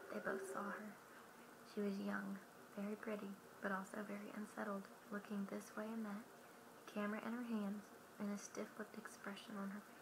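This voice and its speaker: Soft-spoken with a gentle tone, a woman at medium pitch talks at a fairly quick pace in a monotone, flat intonation, with long, frequent pauses and noticeable background noise. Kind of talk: audiobook-style reading aloud. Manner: soft-spoken, gentle.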